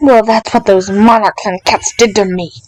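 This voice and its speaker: A woman puts on a character voice with a fairly high pitch, hissing in an angry tone at a moderate pace. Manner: hissing, angry.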